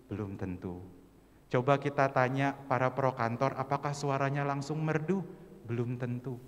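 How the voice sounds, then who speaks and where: A plain, everyday voice from a man at a moderate pace, with fairly even intonation. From West Java (Sundanese region), Indonesia. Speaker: church youth worship singer and speaker. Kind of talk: church training talk to congregation.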